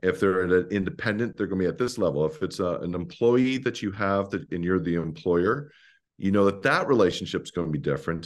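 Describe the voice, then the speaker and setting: With a Canadian accent, a man uses an ordinary speaking voice at a fairly low pitch, talking at a fairly quick pace with lively intonation over a quiet background. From Ontario, Canada (rural Mennonite community). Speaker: pastor. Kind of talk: interview.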